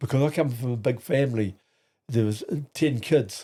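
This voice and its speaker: A man speaks with a New Zealand accent at a moderate pace, with ordinary pitch variation. The recording is very clean, with a silent background. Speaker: grandfather guest on podcast. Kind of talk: casual chat. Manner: halting.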